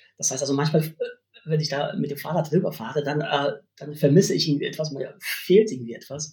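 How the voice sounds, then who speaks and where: A fairly quick, fairly high-pitched male voice with ordinary pitch variation. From Poland, West Pomerania. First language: Polish (speaking German). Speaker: university language lecturer. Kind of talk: interview conversation. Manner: hesitant, many fillers.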